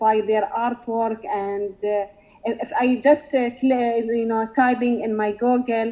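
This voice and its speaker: A woman speaks with an Emirati accent and a high pitch. Her pace is fairly slow. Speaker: visual artist asking a question. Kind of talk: Q&A in online session. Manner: halting.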